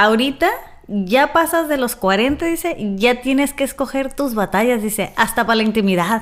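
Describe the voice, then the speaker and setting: With lively intonation, a woman talks in an animated tone. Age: 40s. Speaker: podcast host. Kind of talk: casual interview chat.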